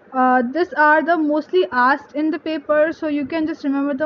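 A woman talks at a moderate pace with a high pitch and fairly even intonation. There is light background noise. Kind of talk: study tips tutorial. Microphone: phone near.

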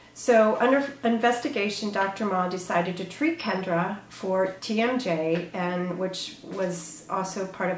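A woman talks at a very slow pace with ordinary pitch variation. The room echo is audible, and there is light background noise. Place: office.

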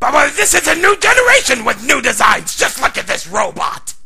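Over light background noise, a man performs a put-on character voice at an extremely high pitch. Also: fairly quick pace. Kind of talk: comedy parody dub. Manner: boastful, angry.

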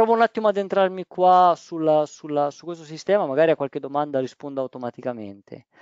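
Very fast and with hardly any pauses, a man speaks at a fairly high pitch with lively intonation. His loudness swings widely. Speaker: roofing waterproofing project manager. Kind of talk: webinar presentation. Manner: halting.

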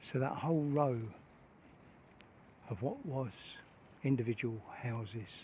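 Somewhat breathy, a man talks at a fairly slow pace in a dry recording with no echo and light background noise. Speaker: canal boat vlogger narrating. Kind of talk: casual vlog commentary. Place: street. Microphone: phone near.

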